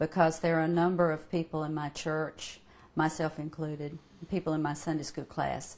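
A woman's very deep, low voice at a moderate pace. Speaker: interviewee. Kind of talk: interview answer. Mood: warm, earnest. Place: home room.

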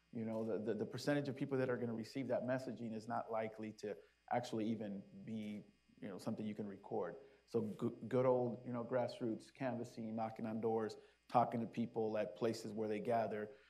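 A man's dark, mellow voice in an American accent, fairly quick and flat, monotone in intonation. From Las Vegas, US West. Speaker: city community engagement official; panelist. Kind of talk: panel discussion. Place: stage. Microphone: lapel.

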